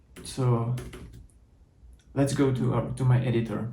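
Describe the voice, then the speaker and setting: A man with a Czech accent speaks at a medium pitch and a moderate pace. His somewhat breathy voice has a dark, mellow tone, with audible room echo. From Czech Republic. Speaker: software developer, conference speaker. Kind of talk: tech talk with code demo.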